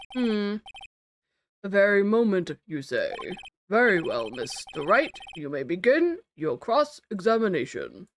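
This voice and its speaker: A put-on character voice, fairly high in pitch, at a fairly slow pace with long, frequent pauses. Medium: game stream. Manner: slow, formal.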